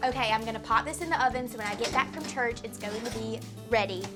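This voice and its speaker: Music plays in the background as a woman speaks in a Southern US accent. Her tone is upbeat. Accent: Southern American. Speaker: test kitchen cook. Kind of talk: cooking show host to camera. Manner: upbeat, chatty.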